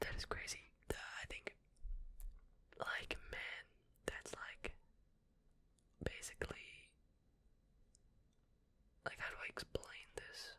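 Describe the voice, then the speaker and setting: A man whispers very slowly, with long pauses coming often. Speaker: ASMR content creator. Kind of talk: ASMR space facts reading, casual and chatty. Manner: whispered, soft.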